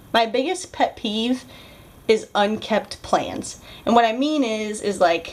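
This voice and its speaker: The delivery is animated in tone, with ordinary pitch variation. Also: woman. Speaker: beauty vlogger. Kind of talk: casual vlog chat.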